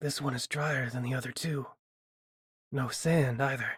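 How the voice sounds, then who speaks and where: Using a raspy, put-on character voice at medium pitch, a man speaks at a moderate pace in a flat monotone. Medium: read story. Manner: dry, teasing humor.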